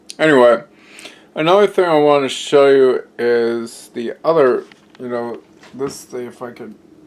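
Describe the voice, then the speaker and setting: A man speaks at a fairly slow pace in a fairly high pitch, his loudness swinging widely and his pitch varying in an ordinary way, with noticeable background noise. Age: 20s. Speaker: home cooking and health vlogger. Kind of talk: casual vlog with taste test. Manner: hesitant with many fillers; improvised, on the fly.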